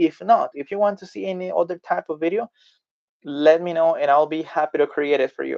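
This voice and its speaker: A high-pitched man's voice in a Spanish accent at a moderate pace, with ordinary pitch variation and a dry, close sound with no echo. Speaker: language tutor. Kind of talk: tutorial; storytelling language lesson. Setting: live video stream.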